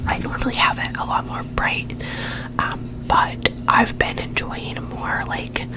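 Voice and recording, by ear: Whispering at a fairly slow pace, a woman speaks.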